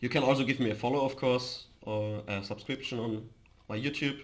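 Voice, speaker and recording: Medium-pitched male voice with an Austrian accent, fairly even intonation and audible room echo. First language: German. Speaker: crypto streamer. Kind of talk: casual live stream chat. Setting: live stream. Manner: halting, with false starts.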